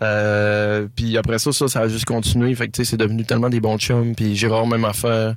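Speaking at a fairly quick pace, a man with a medium pitch keeps a monotone, flat intonation in a very clean recording with a silent background. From Quebec, Saint-Prime (Lac-Saint-Jean). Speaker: singer-songwriter. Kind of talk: casual interview.

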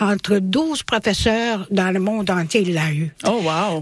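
Very slow speech from a woman, medium in pitch with ordinary variation, over noticeable background noise. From Bosnia. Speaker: French language teacher. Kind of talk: radio interview. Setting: studio.

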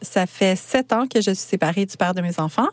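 A woman's unremarkable speaking voice, medium in pitch with ordinary pitch variation, in a dry, close sound with no echo. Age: 40s. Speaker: podcaster and clothing shop owner. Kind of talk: radio interview.

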